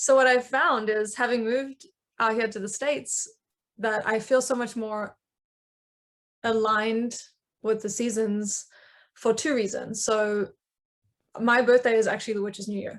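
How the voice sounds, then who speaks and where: A woman with a South African accent, fairly high in pitch, at a moderate pace with fairly even intonation and long, frequent pauses, against a quiet background. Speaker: coven member, witch. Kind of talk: panel discussion.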